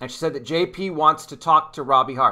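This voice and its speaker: A man's bright, sharp voice at a fairly quick pace, with ordinary pitch variation over a quiet background. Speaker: online commentator. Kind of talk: commentary. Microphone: webcam.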